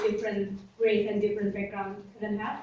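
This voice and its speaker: A woman with a non-native accent speaks at a fairly high pitch. Noticeable background noise and audible room echo are present. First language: not English. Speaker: student, seminar audience member. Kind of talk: audience question in seminar. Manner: halting, many fillers.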